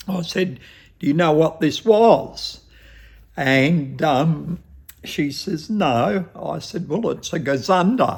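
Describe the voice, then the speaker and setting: A man speaks in a strong Australian accent at a fairly high pitch. His pace is very slow and his intonation lively. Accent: broad Australian. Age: 70s. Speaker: shop owner. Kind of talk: interview, casual storytelling.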